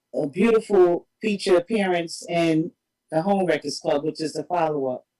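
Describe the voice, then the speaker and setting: Someone talks at a moderate pace with a New York accent. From Harlem, New York City. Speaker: independent filmmaker. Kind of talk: interview.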